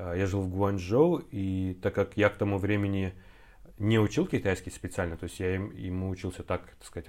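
This man talks at a fairly quick pace in a very deep, low pitch. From Kazakhstan, Semey. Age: 30s. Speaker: translator and actor. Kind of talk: casual chat.

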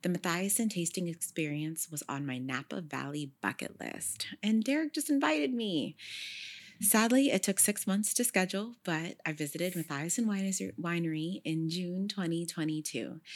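On a very clean recording with a silent background, a woman with an ordinary speaking voice and fairly low pitch talks at a moderate pace with lively intonation. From Sacramento, California. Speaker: podcast host. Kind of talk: scripted narration; casual chat.

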